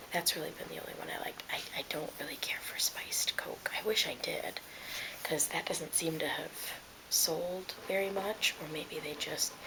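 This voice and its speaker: This woman speaks in a whisper. Her pace is moderate, and background noise is noticeable. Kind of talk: casual talk to camera, ASMR mukbang ramble. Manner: soft-spoken.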